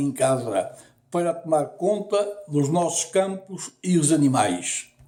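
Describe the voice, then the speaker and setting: A man's high-pitched voice, dark and mellow in tone, at a very slow pace. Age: 70s. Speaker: storyteller. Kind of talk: storytelling.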